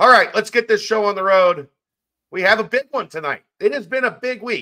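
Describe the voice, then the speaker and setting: Against a quiet background, a man uses a raised, projected voice with a bright, sharp tone. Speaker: podcast host. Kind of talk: podcast intro and sponsor read. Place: home room.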